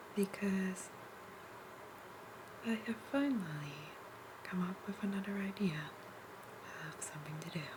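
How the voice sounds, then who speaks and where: Over noticeable background noise, a soft-spoken voice moves at a very slow pace. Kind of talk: ASMR soft-spoken ramble.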